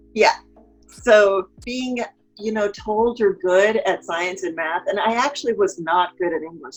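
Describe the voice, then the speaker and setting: Over music in the background, a woman talks in an animated tone at a fairly slow pace. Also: medium pitch for a woman, ordinary pitch variation. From Texas. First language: Spanish. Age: 40s. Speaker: marketing consultant. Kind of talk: interview.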